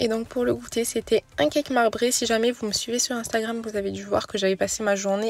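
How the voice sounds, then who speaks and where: Fairly high in pitch, a woman talks at a fairly quick pace with fairly even intonation in a dry, close sound with no echo. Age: 20s. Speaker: mom vlogger. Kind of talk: voice-over narration. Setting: in a car. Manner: soft-spoken.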